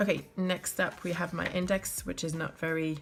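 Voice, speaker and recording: A woman's very deep, low voice, monotone and flat, at a fairly slow pace over music in the background. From France. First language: French. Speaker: bullet journal YouTuber. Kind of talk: tutorial. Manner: hesitant, many fillers.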